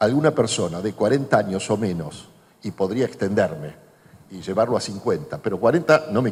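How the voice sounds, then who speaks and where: A man talks with very wide pitch swings. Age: 60s. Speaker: journalist and author. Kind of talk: public talk Q&A.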